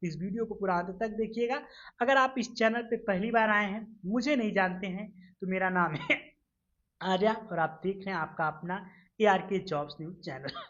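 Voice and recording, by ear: A woman's put-on character voice, raspy and hoarse, medium-pitched, at a fairly quick pace with ordinary pitch variation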